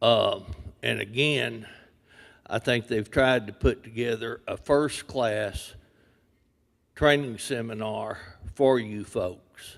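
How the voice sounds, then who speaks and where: A man with a strong West Texas accent, very slow and fairly even in intonation, with long, frequent pauses. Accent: deep West Texas. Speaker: industry speaker. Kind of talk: seminar talk. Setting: seminar room, seated.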